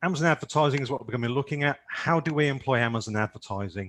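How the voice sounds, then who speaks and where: A man's fairly high voice, with ordinary pitch variation and a dry, close sound with no echo. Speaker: PPC expert and Amazon seller. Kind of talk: webinar presentation.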